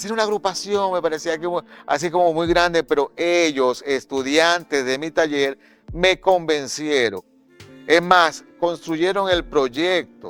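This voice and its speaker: Music plays in the background as a high-pitched man speaks at a fairly slow pace with ordinary pitch variation, in a dry, close sound with no echo. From Maracaibo, Venezuela. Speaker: actor, director and playwright. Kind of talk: interview answer.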